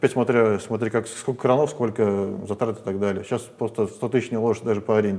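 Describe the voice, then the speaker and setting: A dark, mellow tone marks this man's voice. His delivery is fairly quick. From Siberia. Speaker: business owner. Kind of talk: interview. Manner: halting.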